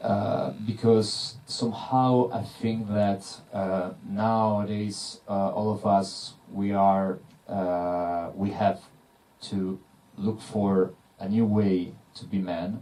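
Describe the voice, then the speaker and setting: A man's fairly low, dark and mellow voice, very slow pace, fairly even intonation. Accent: Italian. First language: Italian. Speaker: film director. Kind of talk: panel Q&A. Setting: cinema Q&A with audience. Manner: halting, many fillers.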